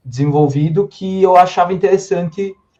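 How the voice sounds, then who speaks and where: A man's somewhat breathy, dark and mellow voice, with ordinary pitch variation at a moderate pace. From southern Brazil, Serra Gaúcha (Rio Grande do Sul). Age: 20s. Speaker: author and publisher's legal officer. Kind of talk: podcast interview chat.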